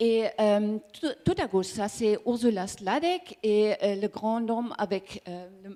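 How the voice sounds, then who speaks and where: Speaking at a very slow pace, a woman with a fairly high pitch and a dark, mellow tone shows ordinary pitch variation. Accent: German. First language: German (speaking French). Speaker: communications manager of energy cooperative. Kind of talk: conference presentation. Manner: halting, searching for words.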